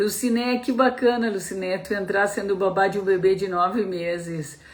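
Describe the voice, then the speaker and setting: A woman's voice in a southern Brazilian accent, with ordinary pitch variation. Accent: gaúcho Brazilian Portuguese. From southern Brazil (Rio Grande do Sul). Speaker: pediatrician. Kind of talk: live-stream talk to parents. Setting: live stream.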